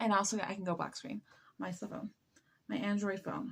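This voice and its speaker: A woman speaks with an American accent at a medium pitch. Her voice is somewhat breathy. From US. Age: 20s. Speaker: live streamer. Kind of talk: casual chat. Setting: late night live stream. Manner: halting.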